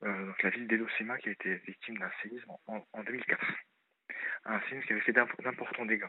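Using a normal speaking voice, a man talks at a fairly quick pace with fairly even intonation. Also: medium pitch for a man. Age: 30s. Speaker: caller. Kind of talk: appeal for donations.

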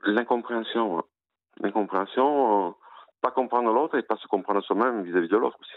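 At a fairly quick pace, a man of medium pitch talks with ordinary pitch variation, big swings in loudness and long, frequent pauses. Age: 50s. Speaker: caller, former prisoner running a book charity. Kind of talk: radio call-in testimony. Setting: phone call. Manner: halting, many repetitions.

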